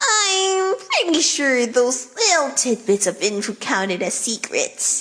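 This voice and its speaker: A put-on, female-sounding character voice, high in pitch, with very wide pitch swings and a fairly slow pace. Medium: audio drama.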